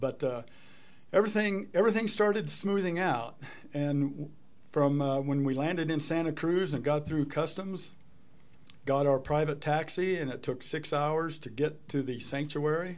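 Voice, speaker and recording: The voice is an unremarkable speaking voice with ordinary pitch variation. It moves at a moderate pace. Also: man, fairly high pitch for a man. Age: 60s. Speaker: wildlife sanctuary volunteer and artist. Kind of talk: interview.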